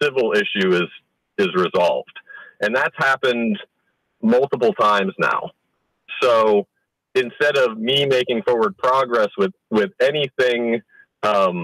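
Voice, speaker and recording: A man at a medium pitch, very slow pace and very even loudness, with very wide pitch swings, long, frequent pauses and a dry, close sound with no echo. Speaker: father in a custody dispute. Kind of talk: interview answer. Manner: hesitant.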